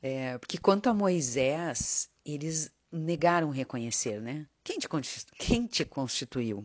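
A woman's very deep, low voice with lively intonation at a very slow pace. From southern Brazil, Porto Alegre area. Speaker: church member giving a devotional talk. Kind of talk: devotional talk / sermon-style testimony. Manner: conversational with frequent fillers.

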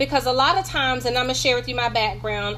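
The speaker is a woman. She talks in a North Carolina accent. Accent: Southern US (North Carolina). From North Carolina, US South. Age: 50s. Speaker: pastor and business coach. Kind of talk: religious motivational talk. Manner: animated, conversational.

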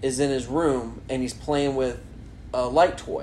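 A man with a Southern US accent amid audible room echo. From US South. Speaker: podcast co-host. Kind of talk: casual chat.

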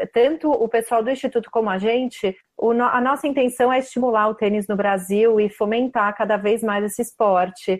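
In a normal speaking voice, a woman talks at a moderate pace with hardly any pauses, a fairly high pitch and ordinary pitch variation. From Brazil, São Paulo state. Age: 30s. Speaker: tennis blogger. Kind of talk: casual interview.

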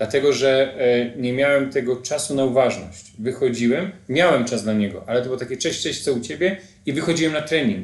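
Here is a man with a normal speaking voice at a medium pitch. He moves at a fairly quick pace with ordinary pitch variation. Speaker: podcast host. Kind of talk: interview.

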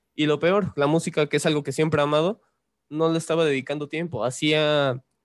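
The recording is very clean, with a silent background and a dry, close sound free of echo. The speech moves at a very fast pace. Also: man. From Mexico City. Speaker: musician. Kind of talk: casual chat.

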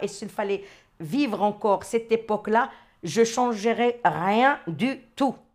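Pitched fairly high, a woman's voice shows ordinary pitch variation. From Morocco. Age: 60s. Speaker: interviewee. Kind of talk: personal storytelling interview. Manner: hesitant with repetitions.

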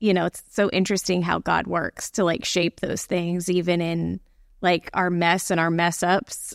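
In an American accent, a woman with an unremarkable speaking voice and fairly low pitch talks at a moderate pace, her sound dry and close with no echo on a very clean recording with a silent background. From Florida, Gulf Coast (Bradenton, Sarasota area). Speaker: pastor. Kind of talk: casual chat.

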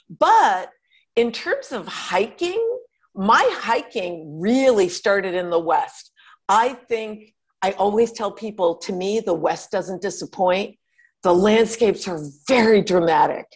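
A woman's ordinary speaking voice with an American accent, medium in pitch, at a fairly slow pace and with ordinary pitch variation. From Connecticut, US. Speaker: outdoor writer and journalist. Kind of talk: casual interview chat.

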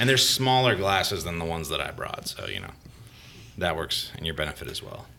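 A man with a very deep, low voice talks fairly quickly in an American accent, with lively intonation and big swings in loudness. Audible room echo and noticeable background noise fill the recording. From Florida. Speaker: brewery owner. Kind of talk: casual interview.

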